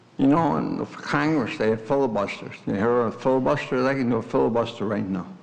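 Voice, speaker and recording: Talking very fast with hardly any pauses, a man at medium pitch uses lively intonation, with audible room echo and noticeable background noise. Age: 80s+. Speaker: resident giving public comment. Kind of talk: public comment at council meeting. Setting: village board meeting room. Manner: insistent, interrupting.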